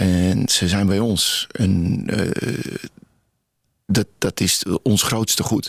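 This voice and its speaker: Speaking at a very slow pace with long, frequent pauses, a man keeps a fairly low pitch and very even loudness. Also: fairly even intonation. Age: 60s. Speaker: memorial photographer. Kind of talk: radio interview.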